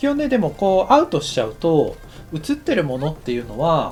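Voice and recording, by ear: Big pitch swings run through a man's fairly high, slightly mellow voice as he speaks at a fairly quick pace.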